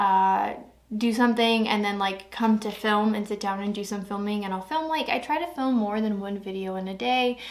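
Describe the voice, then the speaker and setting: Audible room echo surrounds a woman of medium pitch who speaks at a moderate pace with ordinary pitch variation. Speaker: beauty vlogger. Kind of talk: casual review talk to camera. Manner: hesitant, filler-heavy.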